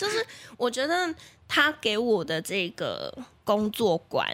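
Her tone is animated as this woman speaks. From Taiwan, Taichung. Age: 20s. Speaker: radio marketing planner and host. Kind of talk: casual interview chat. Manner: animated, laughs often.

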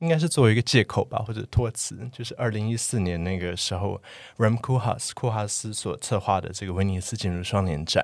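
This man has an unremarkable speaking voice, fairly low in pitch, moving at a fairly quick pace with lively intonation. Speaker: architect, podcast guest. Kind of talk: casual chat.

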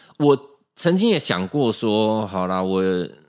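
The speaker has a Taiwanese accent and talks very slowly. Pitch swings very widely. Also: man. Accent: Taiwanese Mandarin. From Taiwan, Keelung. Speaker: musician. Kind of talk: casual chat. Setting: studio.

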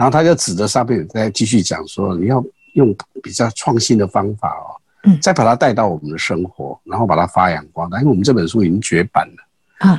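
A man speaks at a medium pitch, somewhat breathy, with very wide swings in pitch. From Taiwan, Pingxi (New Taipei). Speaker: street performer and grass-weaving craft artist, retired executive. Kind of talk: casual interview. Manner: halting with many fillers and repetitions.

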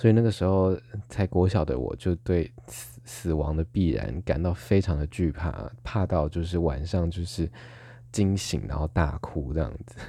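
Over a quiet background, a man with very deep, low pitch and a dark, mellow tone speaks at a moderate pace with lively intonation and vocal fry. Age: 20s. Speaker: podcast host. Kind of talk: casual solo monologue.

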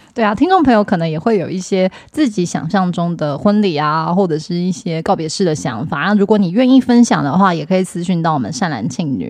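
Fairly low in pitch, a woman talks at a fairly quick pace with hardly any pauses and lively intonation. She has a normal speaking voice. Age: 30s. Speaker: podcast co-host. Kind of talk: casual chat.

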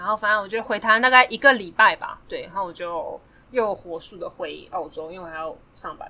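A woman speaks in a plain, everyday voice at a medium pitch with ordinary pitch variation. Her pace is fairly quick, and her loudness swings widely. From Taiwan. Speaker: podcast guest. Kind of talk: casual chat. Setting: studio.

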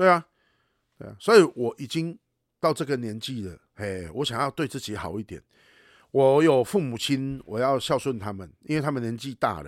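This man talks at a moderate pace and medium pitch, with lively intonation and big swings in loudness. The sound is dry and close with no echo, on a very clean recording with a silent background. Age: 40s. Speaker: podcast host and animal rescue advocate. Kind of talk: casual chat. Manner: animated, heated.

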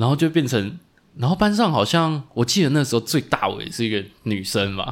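His pitch swings very widely as this man speaks at a moderate pace. The recording is very clean, with a silent background. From Taiwan (Tainan). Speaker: podcast co-host, physical therapist. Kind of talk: casual chat.

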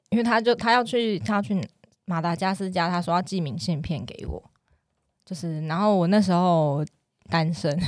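Speaking at a moderate pace, a woman with a fairly low pitch uses lively intonation. She takes long, frequent pauses in a very clean recording with a silent background. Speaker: hospital pharmacist. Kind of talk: casual chat.

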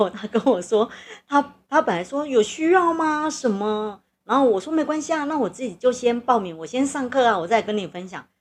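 Over a quiet background, a woman with a high voice speaks at a moderate pace, her pitch swinging very widely and her loudness rising and falling by a lot. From southern Taiwan. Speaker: podcast host. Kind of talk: casual chat. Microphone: recording equipment problems, noise.

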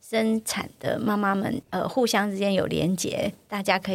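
An ordinary speaking voice. It moves at a moderate pace. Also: woman. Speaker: podcast host, gender equality educator. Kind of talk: casual chat.

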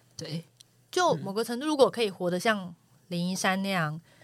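Her pitch is medium for a woman. She talks at a moderate pace. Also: long, frequent pauses. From Taiwan, coastal Taichung. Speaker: former journalist. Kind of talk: casual chat.

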